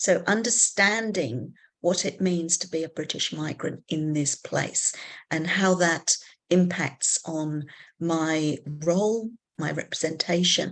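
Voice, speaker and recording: Over a quiet background, a woman with a fairly low pitch speaks at a very slow pace with ordinary pitch variation. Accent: English. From England. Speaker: psychology academic. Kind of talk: panel discussion facilitation.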